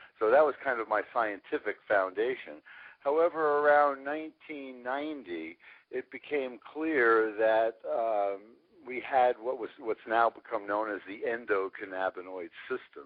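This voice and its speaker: Delivered at a fairly slow pace, a plain, everyday voice carries lively intonation. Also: man, medium pitch for a man. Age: 60s. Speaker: scientist and company CEO. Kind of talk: interview.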